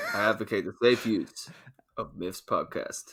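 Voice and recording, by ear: Doing a put-on character voice in an American accent, a man speaks raspily at a moderate pace.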